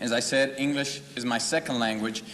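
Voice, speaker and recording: A man with fairly even intonation amid noticeable background noise. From Mexico until 13, then Fort Worth, Texas. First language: Spanish. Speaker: political candidate. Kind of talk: campaign speech at candidates forum.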